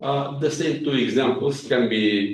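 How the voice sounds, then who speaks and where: Fairly slow speech in a Bulgarian accent, with audible room echo. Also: man. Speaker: mathematics professor. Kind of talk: lecture. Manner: hesitant with frequent fillers.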